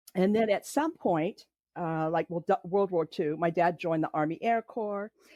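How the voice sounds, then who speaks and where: Dry, close sound with no echo, a moderate pace, and a quiet background. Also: woman. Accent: Californian. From California, Los Angeles area. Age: 60s. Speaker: podcast guest telling her family story. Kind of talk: personal testimony in interview. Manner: halting, many fillers.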